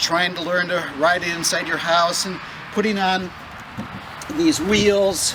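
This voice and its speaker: Over noticeable background noise, a man with a high voice speaks fairly slowly with fairly even intonation. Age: 60s. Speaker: hobbyist video maker. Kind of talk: casual tutorial.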